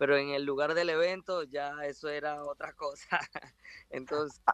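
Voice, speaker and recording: The man's pitch is fairly high and his intonation monotone and flat. He speaks at a fairly slow pace in a dry, close sound with no echo. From Venezuela, Ciudad Bolívar. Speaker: professional boxer. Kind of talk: interview. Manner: halting.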